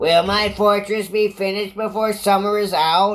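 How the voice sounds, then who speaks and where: The put-on character voice sits at a fairly high pitch with monotone, flat intonation. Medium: read story. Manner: imperious, menacing.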